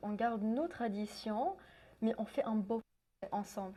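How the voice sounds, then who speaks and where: At a very slow pace, a woman with a fairly high pitch and ordinary pitch variation speaks in a somewhat breathy voice with a dark, mellow tone. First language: English (speaking French). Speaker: translation student and musician. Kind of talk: interview. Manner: halting.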